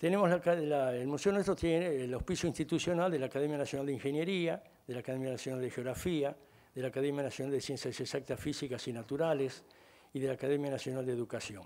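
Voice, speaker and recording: Talking at a very fast pace, a man uses a fairly high pitch with ordinary pitch variation. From Argentina. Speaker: engineer and museum founder. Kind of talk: ceremony speech. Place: hall. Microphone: podium.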